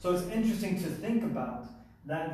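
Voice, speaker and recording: A man with ordinary pitch variation, audible room echo and noticeable background noise. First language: Spanish. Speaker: math teacher. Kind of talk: lecture. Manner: casual.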